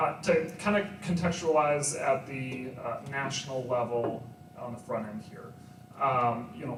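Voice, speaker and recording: A man speaks fairly slowly at a fairly high pitch, with ordinary pitch variation and big swings in loudness. Music plays in the background, and room echo is audible. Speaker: data analyst. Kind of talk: presentation to live audience.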